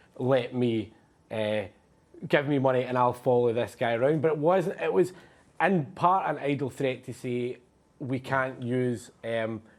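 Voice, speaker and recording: A man with a Glasgow accent talks at medium pitch and a fairly slow pace. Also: ordinary pitch variation. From Scotland. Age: 20s. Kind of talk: live TV interview answer. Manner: hesitant.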